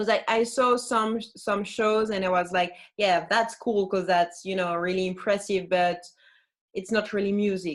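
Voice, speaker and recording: Spoken at a moderate pace with a French accent and fairly even intonation, this is a very clean recording with a silent background. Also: woman, medium pitch for a woman. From France. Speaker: flautist and singer. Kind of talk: interview.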